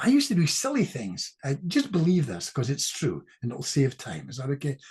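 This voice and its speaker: With a Scottish accent, a man talks at a fairly quick pace, his loudness swinging widely. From Scotland. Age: 70s. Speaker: clinical hypnotist. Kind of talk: casual chat. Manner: fast.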